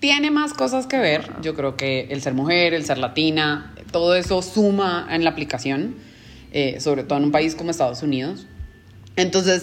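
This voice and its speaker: A woman speaks with an ordinary speaking voice, her pitch fairly low. Her intonation is lively and her pace moderate. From Colombia. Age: 30s. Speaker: business manager. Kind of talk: interview.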